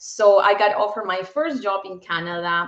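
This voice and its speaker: A woman with a slight Peruvian accent speaks at a moderate pace, her medium-pitched voice showing ordinary pitch variation. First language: Spanish. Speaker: bank executive. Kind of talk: interview.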